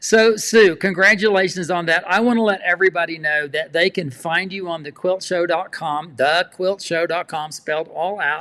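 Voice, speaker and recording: With a South Texas accent, a man with a high voice and a bright, sharp tone talks at a moderate pace with fairly even intonation and hardly any pauses. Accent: Southern Texas. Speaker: quilting show host. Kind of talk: casual interview. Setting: livestream.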